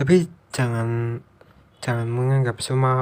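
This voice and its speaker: Here a man speaks at a medium pitch. His intonation is monotone and flat at a moderate pace. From East Java, Indonesia. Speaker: vlogger. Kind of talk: unscripted monologue. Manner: halting; casual.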